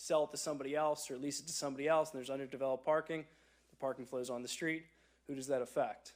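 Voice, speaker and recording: A man talks in a monotone with flat intonation. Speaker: attorney speaking for a resident. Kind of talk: public comment at a planning meeting. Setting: township meeting, recorded for viewers at home. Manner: loud.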